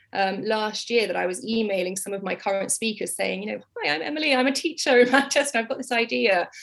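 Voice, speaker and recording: A woman's very fast speech with vocal fry and hardly any pauses. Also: fairly high pitch for a woman, lively intonation. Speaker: startup founder. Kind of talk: casual chat. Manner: animated.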